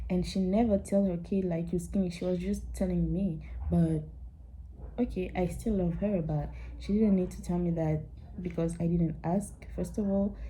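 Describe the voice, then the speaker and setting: Delivery comes at a moderate pace. Room echo is audible. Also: woman. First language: not English. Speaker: vlogger. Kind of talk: casual chat.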